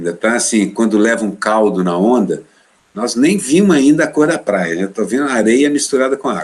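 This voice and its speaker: Using a normal speaking voice, a man talks at medium pitch and a moderate pace with lively intonation. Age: 60s. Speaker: cartoonist. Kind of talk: interview.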